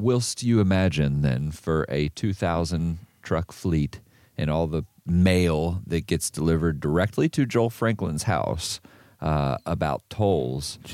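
A man with an American accent speaks at a fairly slow pace in a very deep, dark, mellow voice with ordinary pitch variation and very even loudness, recorded with a dry, close sound and no echo. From northern US. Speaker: podcast co-host at a trucking company. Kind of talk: casual chat.

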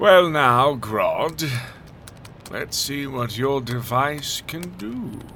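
A man puts on a cartoonish character voice at medium pitch, speaking very slowly with big pitch swings and a bright, sharp tone.

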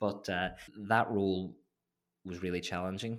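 A man with a Derry accent speaks in a very deep, low pitch with fairly even intonation. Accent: Northern Irish (Derry). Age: 20s. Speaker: political advisor. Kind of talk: casual interview. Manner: halting.

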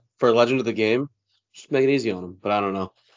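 Talking at a very fast pace, this man has a fairly low pitch and fairly even intonation. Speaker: podcast co-host. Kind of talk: casual sports podcast chat.

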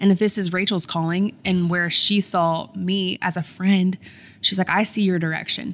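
A woman's medium-pitched, flat monotone at a moderate pace, on a very clean recording with a silent background. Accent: American. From US South, Columbia, South Carolina. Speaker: podcaster and influencer. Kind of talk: interview.

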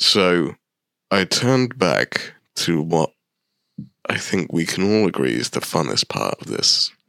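In a playful tone with vocal fry, a man talks at a fairly slow pace with very wide pitch swings, the sound dry and close with no echo on a very clean recording with a silent background. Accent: British. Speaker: podcast co-host. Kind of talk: casual chat.

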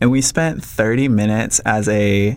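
Here is a man with an American accent and an unremarkable speaking voice. His pitch varies in an ordinary way. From Minnesota. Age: 30s. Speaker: photographer. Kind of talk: casual chat.

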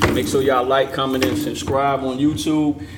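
Noticeable background noise and audible room echo surround this recording. A man talks at medium pitch and a fairly quick pace, in a monotone, flat intonation. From Portsmouth, Virginia. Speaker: rapper. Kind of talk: casual chat. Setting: studio.

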